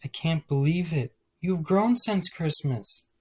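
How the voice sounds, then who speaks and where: A soft-spoken, put-on character voice with lively intonation at a fairly slow pace, in a dry, close sound with no echo. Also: man, high pitch for a man. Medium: read story. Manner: soft, kind.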